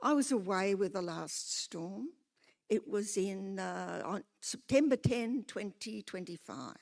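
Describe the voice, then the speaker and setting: A woman talks at a very slow pace at a medium pitch, her intonation lively. Her loudness swings widely. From Australia, Newcastle NSW. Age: 80s+. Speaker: retired lecturer, public speaker. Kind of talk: public hearing submission.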